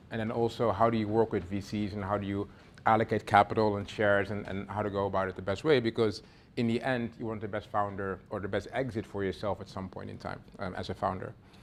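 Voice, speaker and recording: A man with a fairly low voice, talking very fast, with big swings in loudness. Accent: Dutch. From Netherlands. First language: Dutch. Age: 40s. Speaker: venture capital investor. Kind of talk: workshop talk. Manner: casual, filler-heavy.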